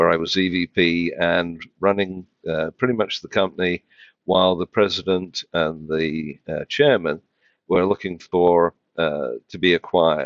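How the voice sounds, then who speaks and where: This man has a very deep, low pitch. He speaks with a British accent. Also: fairly even intonation, fairly slow pace. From UK. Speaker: financial tech executive. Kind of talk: podcast interview. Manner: hesitant, many fillers.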